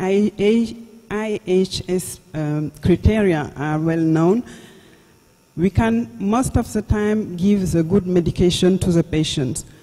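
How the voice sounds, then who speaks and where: This speaker talks at a very slow pace with ordinary pitch variation and a Senegalese accent. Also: man, high pitch for a man. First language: French. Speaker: neurologist professor. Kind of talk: conference talk. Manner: halting, with hesitations.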